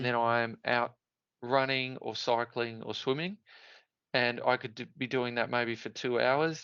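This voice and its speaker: A man with an Australian accent speaks at a fairly slow pace in a medium pitch, his intonation monotone and flat and his tone bright and sharp, over a quiet background. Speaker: Ironman triathlete. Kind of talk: interview answer. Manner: chatty, funny.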